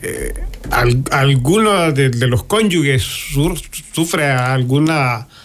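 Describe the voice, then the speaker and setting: A man speaks at a fairly high pitch. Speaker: guest sharing life testimony. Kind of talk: testimony. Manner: halting.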